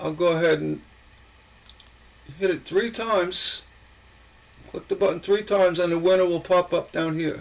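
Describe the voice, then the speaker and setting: A man speaks with an American accent at a high pitch and moderate pace. His intonation is fairly even, broken by long, frequent pauses. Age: 60s. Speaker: coin collector YouTuber. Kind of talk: live stream chat. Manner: halting.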